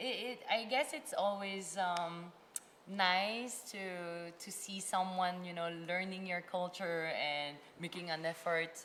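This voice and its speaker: Audible room echo surrounds a woman who talks very slowly in a Filipino accent, her medium pitch moving with ordinary variation. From France, Filipino family. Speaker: content creator. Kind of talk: casual chat.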